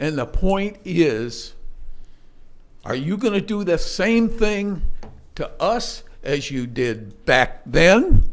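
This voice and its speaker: A man's voice comes at a very slow pace, broken by long, frequent pauses, with audible room echo around it. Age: 80s+. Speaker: resident speaking at public comment. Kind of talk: public comment at a town meeting. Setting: public meeting hall.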